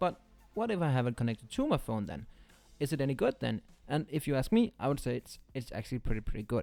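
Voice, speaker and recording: In a non-native accent, a man speaks at a very fast pace with a medium pitch. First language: not English. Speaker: tech reviewer. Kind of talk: product review. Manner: halting.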